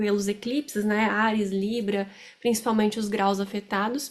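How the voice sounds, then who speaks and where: The pace is fairly slow. The intonation is flat and monotone. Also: woman. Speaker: astrologer. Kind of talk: astrology forecast talk to camera. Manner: loud; hesitant, many fillers.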